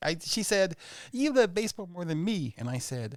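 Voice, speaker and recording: At a fairly quick pace, a man speaks on a very clean recording with a silent background. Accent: American. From Oklahoma (Tulsa). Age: 60s. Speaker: stand-up comedian. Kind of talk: casual chat. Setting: studio.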